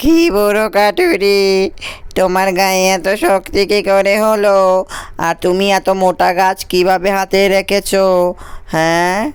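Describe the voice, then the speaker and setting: A cartoonish character voice moves at a very slow pace. Its intonation is fairly even and its loudness very even. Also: man, high pitch for a man. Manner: pushy.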